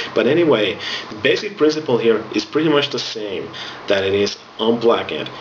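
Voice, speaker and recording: Amid noticeable background noise and audible room echo, a man with a Finnish accent talks at a fairly quick pace with lively intonation. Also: medium pitch for a man. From Finland. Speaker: music instructor. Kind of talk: tutorial.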